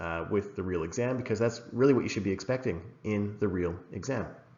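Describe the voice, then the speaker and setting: In an American accent, a man with a fairly low pitch and ordinary pitch variation speaks in an unremarkable speaking voice. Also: hardly any pauses. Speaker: English exam teacher. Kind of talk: recorded lesson. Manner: casual, many fillers (uh, um).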